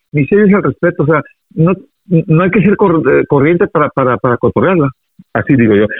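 Speech at a fairly quick pace with very even loudness, lively intonation, and long, frequent pauses. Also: man. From Mazatlán, Sinaloa, Mexico. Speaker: radio announcer. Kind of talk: casual interview.

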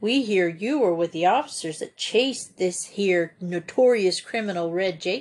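Just a natural reading voice

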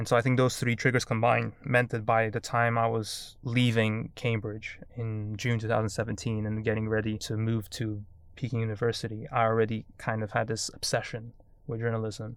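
A man's monotone, flat delivery on a very clean recording with a silent background. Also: medium pitch for a man, moderate pace. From mixed Korean-Portuguese background. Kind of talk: interview conversation.

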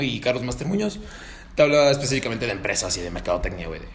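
A man with a fairly high voice talks amid audible room echo. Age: 20s. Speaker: podcast host. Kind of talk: casual chat.

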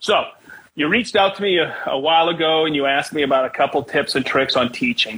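An unremarkable speaking voice at a fairly quick pace with ordinary pitch variation. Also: man. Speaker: podcast host. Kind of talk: casual interview chat.

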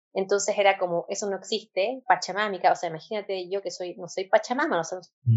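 A woman speaks in a plain, everyday voice at a medium pitch and a fairly quick pace. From Chile. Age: 20s. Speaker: physician turned holistic health practitioner. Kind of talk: interview conversation.

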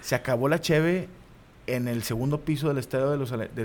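Animated in tone, a man talks at a moderate pace with ordinary pitch variation. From Mexico, Monterrey area (Guadalupe, Nuevo León). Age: 30s. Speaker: comedian and football commentator. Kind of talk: casual chat.

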